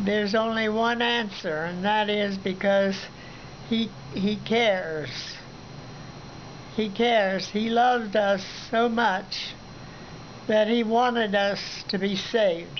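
A woman speaks at a very slow pace in a Midwestern American accent, leaving long, frequent pauses. Her intonation stays fairly even over light background noise. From Southern Ohio, USA. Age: 80s+. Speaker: retired minister and missionary. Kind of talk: interview answer. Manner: hesitant, halting. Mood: calm, earnest, reflective. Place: home room. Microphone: phone near.

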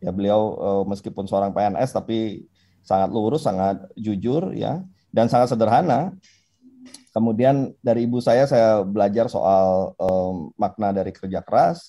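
A man speaks at a fairly slow pace in a fairly low voice with a dark, mellow tone and ordinary pitch variation. The sound is dry with no echo against a quiet background. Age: 40s. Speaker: politician. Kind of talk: interview. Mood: calm, reflective. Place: home room. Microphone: video call.

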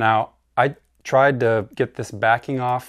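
This is a man speaking with ordinary pitch variation. The background is quiet. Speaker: DIY video host. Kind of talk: tutorial. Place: studio. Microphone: lapel.

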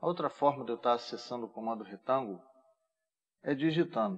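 A man speaks with a Brazilian accent at a medium pitch and ordinary pitch variation, over a quiet background. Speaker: AutoCAD instructor. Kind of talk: tutorial. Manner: casual, informal. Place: home room.

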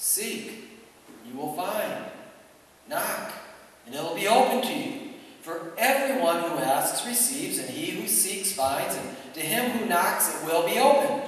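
A man speaks at a fairly slow pace. There is strong echo in the room. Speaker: pastor. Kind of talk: sermon. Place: church.

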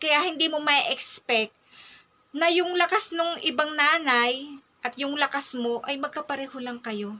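A woman speaks in a high, raised and projected voice. Her pace is fairly slow, and her pitch varies in an ordinary way. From Philippines. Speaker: mom vlogger. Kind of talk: personal advice talk. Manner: polite. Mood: earnest, advising. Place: home room. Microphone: phone near.

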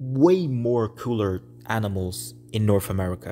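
Over music in the background, a man with a Portuguese accent talks in a fairly low pitch with ordinary pitch variation. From Brazil. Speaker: gaming YouTuber. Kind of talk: casual video commentary. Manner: halting, with repetitions.

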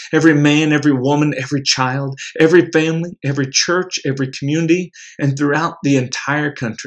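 In a quiet background, a man's voice is heard. He rushes along at a very fast pace. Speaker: prayer leader. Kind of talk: fervent prayer; devotional address. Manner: earnest, impassioned. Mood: earnest, devout.

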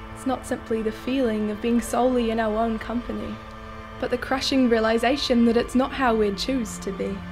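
Over clear music in the background, a woman speaks at a fairly quick pace in a fairly high pitch with monotone, flat intonation. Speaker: spoken word poet. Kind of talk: spoken word poetry performance. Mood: earnest, reflective.

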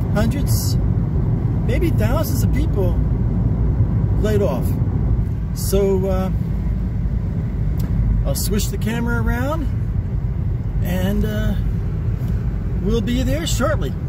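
Over loud background noise, a man speaks at a very slow pace with long, frequent pauses, the sound dry with no echo. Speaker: vlogger. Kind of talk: casual vlog chat. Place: car. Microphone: phone near.

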